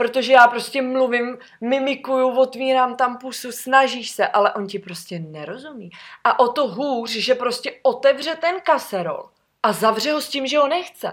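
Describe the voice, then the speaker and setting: A woman's high voice moves with lively intonation and big swings in loudness. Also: moderate pace, very clean recording, silent background. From Czechia, Sokolov. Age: 20s. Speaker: former flight attendant. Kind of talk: casual chat.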